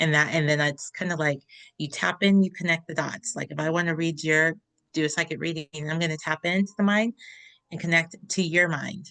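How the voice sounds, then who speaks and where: A woman with a fairly low pitch talks at a fairly quick pace in a bright, sharp tone, her intonation fairly even. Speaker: podcast co-host and psychic reader. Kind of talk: casual spiritual discussion. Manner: fast.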